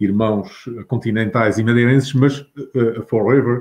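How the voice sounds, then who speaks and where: A man's normal speaking voice at medium pitch, fairly slow pace and ordinary pitch variation. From Azores. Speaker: writer and retired teacher. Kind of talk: interview.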